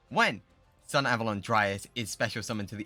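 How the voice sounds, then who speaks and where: A man is speaking. Music plays in the background. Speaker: gaming streamer. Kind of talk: gameplay commentary. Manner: fast.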